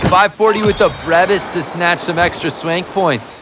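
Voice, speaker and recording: With an upbeat tone, a man with a high pitch and ordinary pitch variation speaks at a moderate pace over noticeable background noise. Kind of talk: live sports commentary. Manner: excitable, hyped play-by-play announcer; punchy, upbeat, slangy.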